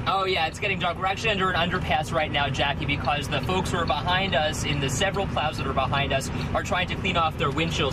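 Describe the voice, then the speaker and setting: Over loud background noise, a man talks at a very fast pace with ordinary pitch variation. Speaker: TV field reporter. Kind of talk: live news report. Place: farm machine. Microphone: phone near.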